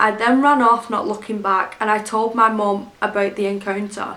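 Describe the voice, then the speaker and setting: A woman with a north-west English accent speaks at a moderate pace in a fairly high pitch. Her intonation is monotone and flat, with noticeable background noise. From Greater Manchester, England. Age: 20s. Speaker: YouTube storyteller. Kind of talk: scary story narration.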